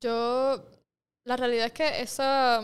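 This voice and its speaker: On a very clean recording with a silent background, a woman speaks at a very slow pace. Her intonation is monotone and flat. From Puerto Rico, Mayagüez. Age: 20s. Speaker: entrepreneur. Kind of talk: casual interview. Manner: halting, many fillers and repetitions.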